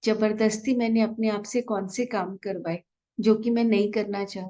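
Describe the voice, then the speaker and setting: A woman's fairly high, soothing voice with monotone, flat intonation. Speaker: meditation guide. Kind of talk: guided meditation. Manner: slow, soothing.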